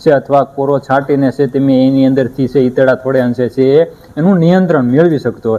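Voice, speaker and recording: Ordinary pitch variation marks a man's voice, an unremarkable speaking voice. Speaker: farming channel host interviewing a livestock farmer. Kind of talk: interview on a dairy farm. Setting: on location at a dairy farm.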